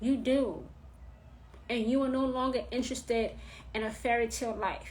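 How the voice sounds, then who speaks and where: A woman speaks at a high pitch with audible room echo around her. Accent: New York. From New York. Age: 30s. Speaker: witchcraft teacher. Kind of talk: live stream talk. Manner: blunt, direct.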